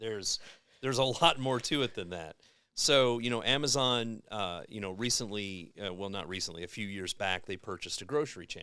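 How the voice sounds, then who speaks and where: Speaking at a fairly quick pace, a man has a bright, sharp tone with fairly low pitch and ordinary pitch variation. The recording is very clean, with a silent background. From Kentucky. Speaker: advertising agency guest. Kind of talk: casual podcast chat. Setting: live-streamed podcast. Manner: animated.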